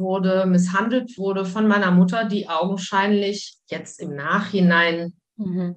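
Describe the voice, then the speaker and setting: Speaking very slowly, a woman keeps a medium pitch. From Wuppertal, western Germany. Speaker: psychologist and communication coach. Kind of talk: casual interview.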